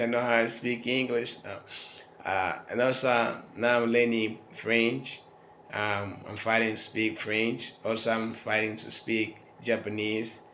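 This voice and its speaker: Over noticeable background noise and audible room echo, a man speaks fairly slowly with fairly even intonation. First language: local African dialect. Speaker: language learner vlogger. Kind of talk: casual monologue. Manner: halting.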